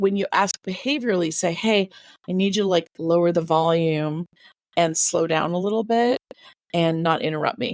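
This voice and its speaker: This woman has an ordinary speaking voice with an American accent, fairly low in pitch with ordinary variation and very even loudness, at a moderate pace. The sound is dry and close, with no echo. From California. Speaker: author and DBT skills advocate. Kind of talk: podcast interview, casual chat.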